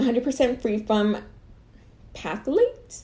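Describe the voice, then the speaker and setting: The woman's voice carries a dark, mellow tone. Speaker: beauty YouTuber. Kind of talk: unboxing review. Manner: casual, chatty.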